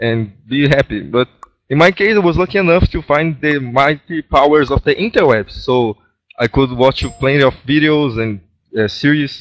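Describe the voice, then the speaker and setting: A man with a Brazilian Portuguese accent speaks at a moderate pace, with a fairly high pitch and ordinary pitch variation. The sound is dry and close, with no echo. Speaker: gaming clan member. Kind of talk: casual group voice chat. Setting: online voice chat.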